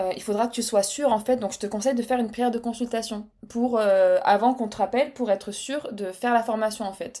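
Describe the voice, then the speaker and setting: A woman's fairly high voice with a dark, mellow tone, fairly even intonation, a very fast pace and hardly any pauses. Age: 30s. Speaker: podcast guest, web agency founder. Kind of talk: casual interview chat. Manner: hesitant, many fillers.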